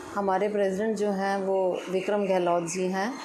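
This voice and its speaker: A woman's flat, monotone delivery at a medium pitch, with audible room echo and noticeable background noise. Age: 60s. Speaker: resident. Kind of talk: testimonial.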